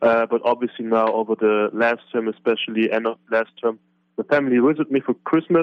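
A man speaks with a German accent. His pitch is medium. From Germany. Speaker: college basketball player.

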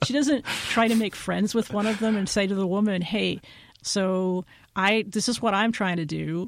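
A woman with a plain, everyday voice speaks at a medium pitch and a moderate pace with ordinary pitch variation. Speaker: journalist and podcaster. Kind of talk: casual chat.

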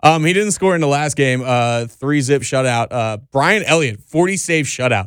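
With an American accent and an unremarkable speaking voice, a man talks at a moderate pace with hardly any pauses, fairly high in pitch and lively in intonation. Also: very clean recording, silent background. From Pennsylvania. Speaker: podcast host. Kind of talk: casual chat. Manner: casual, profane.

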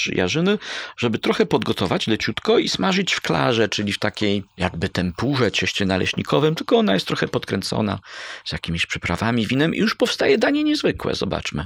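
An ordinary speaking voice, a man talks at a fairly quick pace with lively intonation in a dry, close sound with no echo. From Poland, Bydgoszcz area (Kuyavia-Pomerania). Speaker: history professor. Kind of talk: interview. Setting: in a university culinary heritage centre.

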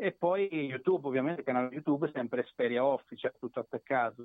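A man speaks in a medium pitch. His pitch variation is ordinary. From Italy, Marche (Macerata). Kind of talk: interview. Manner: halting.

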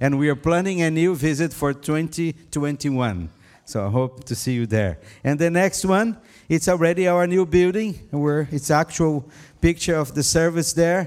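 A man with a Brazilian accent and a fairly high pitch, ordinary pitch variation and a moderate pace, on a very clean recording with a silent background. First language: Portuguese. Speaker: pastor. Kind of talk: sermon. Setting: church.

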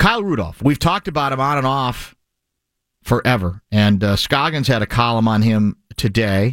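At a moderate pace, the speaker uses a plain, everyday voice with lively intonation. The sound is dry and close with no echo, on a very clean recording with a silent background. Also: man, medium pitch for a man. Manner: fluent, expansive and wordy, with dry, playful humor.

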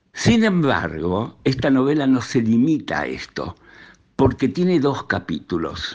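At a fairly slow pace, a man speaks from a medium pitch with very wide pitch swings. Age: 80s+. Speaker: novelist. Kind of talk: interview storytelling.

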